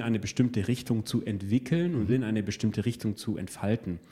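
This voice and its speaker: The voice is dark and mellow in tone, with a somewhat breathy quality. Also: man. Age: 30s. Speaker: learning coach and guest interviewer. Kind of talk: conversational interview.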